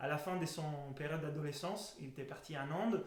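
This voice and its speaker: A man with fairly even intonation speaks at a moderate pace, his voice carrying audible room echo over noticeable background noise. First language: Italian (speaking French). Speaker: breathing method instructor. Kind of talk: educational talk. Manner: halting.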